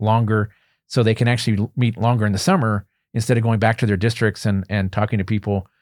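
A man with a normal speaking voice, fairly low pitch and fairly even intonation at a fairly quick pace, in a very clean recording with a silent background. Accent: American. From Pennsylvania, Berks County. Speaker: political science professor. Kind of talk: interview. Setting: studio.

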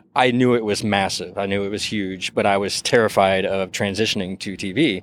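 This man has a plain, everyday voice with a fairly low pitch. He talks at a moderate pace. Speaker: TV writer. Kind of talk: interview. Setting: outdoors, on location.

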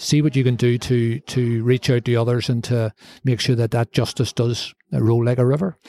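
A man with a Belfast accent speaks at a moderate pace and medium pitch, his dark, mellow tone held at very even loudness with fairly even intonation in a dry, close sound with no echo. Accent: Belfast Northern Irish. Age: 60s. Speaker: former mayor and media executive. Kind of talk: interview. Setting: bar.

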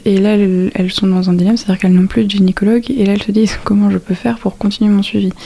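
A woman talks at a very fast pace in a medium-pitched voice. Her intonation is monotone and flat. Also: hardly any pauses. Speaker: midwifery student, student association president. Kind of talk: interview.

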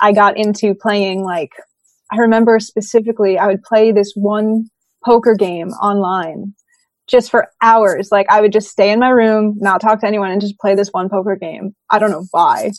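A woman with an American accent talks at a moderate pace in a plain, everyday voice. Her intonation stays fairly even, and the sound is dry and close with no echo. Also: medium pitch for a woman. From US Northeast, Brooklyn, New York. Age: 20s. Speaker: professional drummer and YouTuber. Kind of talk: interview about mental health.

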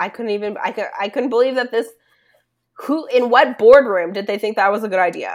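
Using a normal speaking voice, a woman with fairly high pitch speaks at a fairly quick pace with ordinary pitch variation. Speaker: podcast co-host. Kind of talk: casual chat, movie podcast.

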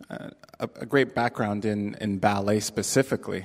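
Speaking at a fairly slow pace with fairly even intonation, a man with a Canadian accent has a fairly low pitch. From Canada, Toronto. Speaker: theater technical director. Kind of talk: interview before a live audience.

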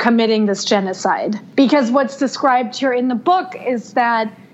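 A woman with a high pitch and ordinary pitch variation talks over noticeable background noise. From Germany. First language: German. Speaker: book reviewer and editor. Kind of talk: casual chat.

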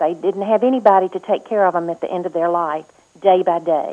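A woman's voice with a Mississippi accent and ordinary pitch variation. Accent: US Southern (Mississippi). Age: 60s. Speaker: political candidate. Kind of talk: radio interview.

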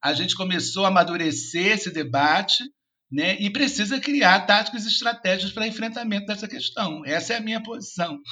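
A man talks at a fairly quick pace in a raised, projected voice. His pitch is high, his tone bright and sharp, and his intonation lively. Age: 50s. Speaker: social worker and professor. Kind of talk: interview.

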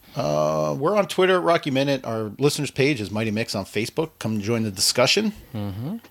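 At a fairly quick pace, a man with a medium pitch speaks in very wide pitch swings over noticeable background noise. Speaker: podcast host. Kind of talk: casual comedic podcast chat.

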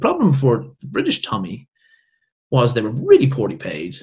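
Vocal fry runs through this man's medium-pitched voice, delivered in an Irish accent. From Ireland. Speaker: military historian. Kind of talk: interview.

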